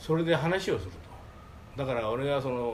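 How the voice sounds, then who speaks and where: A somewhat breathy man speaks at medium pitch and a fairly quick pace, his voice making very wide pitch swings amid audible room echo. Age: 80s+. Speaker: manga artist's office manager. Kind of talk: storytelling. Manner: halting.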